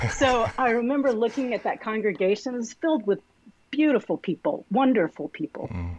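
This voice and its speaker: A woman with a Texan accent speaks at a fairly quick pace and fairly high pitch with lively intonation, in a dry, close sound with no echo over a quiet background. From Texas, Arlington. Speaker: pastor. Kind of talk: interview.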